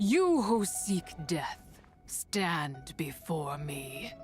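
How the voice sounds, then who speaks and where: With clear music in the background, a put-on character voice at a middle pitch drawls along at a very slow pace. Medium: video game. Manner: archaic, imperious.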